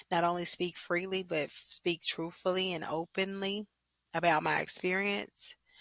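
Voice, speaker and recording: In a Louisiana accent, a woman with a fairly low pitch speaks at a fairly slow pace with flat, monotone intonation. The sound is dry and close, with no echo. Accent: US Southern (Louisiana). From Louisiana, West Monroe. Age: 20s. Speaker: podcaster. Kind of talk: personal monologue podcast.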